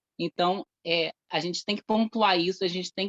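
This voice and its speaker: This woman speaks at a medium pitch and a moderate pace, her intonation fairly even, in a dry, close sound with no echo. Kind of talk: testimony at event.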